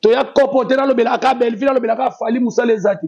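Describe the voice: A man's very fast speech at an extremely high pitch, slightly mellow with a slightly husky edge and ordinary pitch variation.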